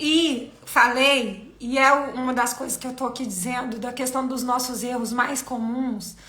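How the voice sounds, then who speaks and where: A woman's raised, projected voice, high-pitched, bright and sharp, with fairly even intonation and audible room echo. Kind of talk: live stream talk on faith. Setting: live video stream.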